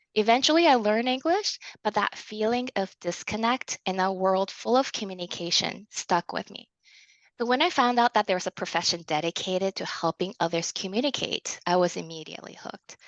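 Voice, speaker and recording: Against a quiet background, a woman talks at a fairly quick pace with lively intonation and a medium pitch, the sound dry and close with no echo. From Canada, immigrated as a child from China via Japan. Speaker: speech-language pathologist and researcher. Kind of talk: conference presentation. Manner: formal.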